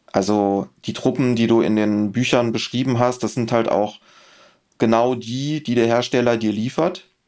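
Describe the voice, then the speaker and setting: A man has an unremarkable speaking voice at medium pitch, with fairly even intonation. His pace is moderate, on a very clean recording with a silent background. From Germany, rural. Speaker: miniature painting expert. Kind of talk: casual chat.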